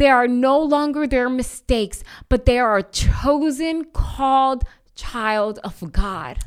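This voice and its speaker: A woman speaks very slowly in a high voice. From Bronx, New York (Puerto Rican family). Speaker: anti-trafficking missionary. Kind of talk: testimony.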